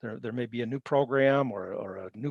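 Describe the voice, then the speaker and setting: A man speaks at a moderate pace and a medium pitch. His pitch varies in an ordinary way, with a dry, close sound and no echo. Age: 60s. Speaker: conservation presenter. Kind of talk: webinar presentation. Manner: halting.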